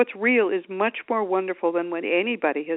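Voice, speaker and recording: At a fairly quick pace, a woman with a normal speaking voice talks at medium pitch with ordinary pitch variation. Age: 60s. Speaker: attorney and afterlife author. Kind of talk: radio interview.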